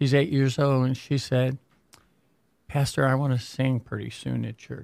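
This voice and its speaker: In a slight Midwestern accent, a man speaks at a moderate pace with monotone, flat intonation. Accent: general American, slight Midwest. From Michigan. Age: 70s. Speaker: pastor. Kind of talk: casual interview chat.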